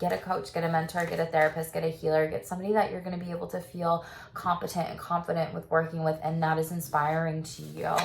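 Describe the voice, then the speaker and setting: A woman's fairly low voice races along at a very fast pace, with noticeable background noise behind it. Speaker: tarot reader and sex therapist. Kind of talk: tarot reading. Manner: casual, animated.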